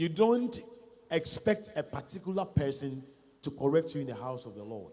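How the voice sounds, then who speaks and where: A man with a Ghanaian accent speaks at a moderate pace. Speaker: pastor. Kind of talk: sermon. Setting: church.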